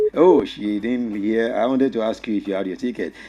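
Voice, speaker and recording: A man with a Nigerian accent talks at a fairly quick pace in a dark, mellow tone. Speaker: radio host. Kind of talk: radio phone-in talk show.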